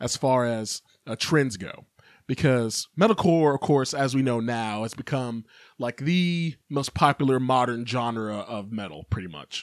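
With an American accent and a plain, everyday voice, a man speaks at a fairly slow pace and medium pitch, his intonation lively, in a dry, close sound with no echo. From Kentucky, US South. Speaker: metal podcast host. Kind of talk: casual solo podcast monologue. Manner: casual, many filler words.

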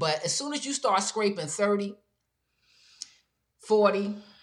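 Her voice sits at a medium pitch with lively intonation. The woman speaks at a fairly slow pace.

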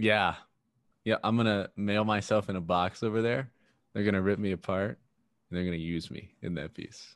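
Pausing long and often, a man speaks at a moderate pace in a fairly low pitch with fairly even intonation. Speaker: podcast co-host. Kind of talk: casual chat.

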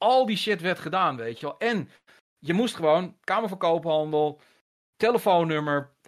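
In a very clean recording with a silent background, a man with a high pitch talks at a moderate pace with lively intonation. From Netherlands, moved often, mainly Haarlem. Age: 50s. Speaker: gaming journalist. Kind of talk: casual interview chat.

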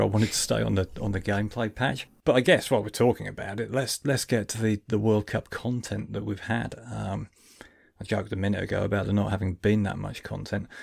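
A man's fairly low voice with vocal fry, very fast and fairly even in intonation. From Lincolnshire, England. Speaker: podcast host. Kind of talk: casual chat. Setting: video call.

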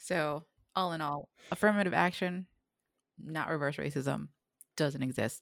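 Over a very clean recording with a silent background, a woman with a very deep, low pitch and vocal fry talks at a moderate pace with ordinary pitch variation and long, frequent pauses. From Philippines. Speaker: podcast co-host. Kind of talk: casual chat. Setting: home recording during quarantine. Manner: laughs often, casual, hesitant fillers.

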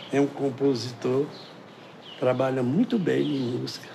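Fairly slow male speech, noticeable background noise and audible echo from the room around it. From Pernambuco sertão, Brazil. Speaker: folk musician and samba percussion master. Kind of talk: interview.

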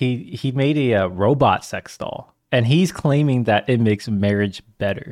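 A man with a normal speaking voice, medium pitch, ordinary pitch variation, a fairly slow pace and hardly any pauses. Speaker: podcast host. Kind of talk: casual chat.

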